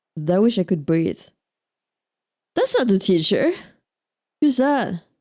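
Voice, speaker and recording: With a French accent, a woman speaks at a fairly slow pace in a fairly high pitch, her tone dark and mellow and her pitch swinging very widely. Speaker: let's play streamer. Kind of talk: gameplay commentary. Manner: casual, reacting to game.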